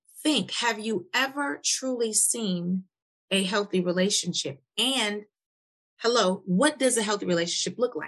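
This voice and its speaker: With a plain, everyday voice, a woman speaks at medium pitch and a fairly slow pace, her intonation lively. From US Midwest, Milwaukee. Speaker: podcast host, life coach. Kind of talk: casual interview.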